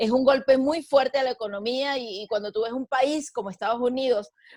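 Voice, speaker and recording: A woman with a high-pitched voice delivers her words at a fairly quick pace. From Venezuela. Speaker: sports journalist and broadcaster. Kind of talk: interview answer.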